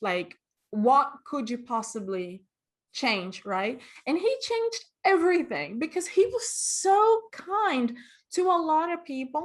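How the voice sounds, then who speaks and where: A woman in a Portuguese accent, fairly slow, with very wide pitch swings and a quiet background. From Brazil, Rio de Janeiro and Vitória. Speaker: costumer and cosplayer. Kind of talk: interview.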